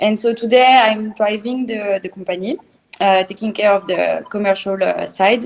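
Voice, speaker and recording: A woman with a French accent speaks at a moderate pace and fairly high pitch, her intonation fairly even. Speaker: champagne producer. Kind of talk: online interview. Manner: hesitant, many filler sounds.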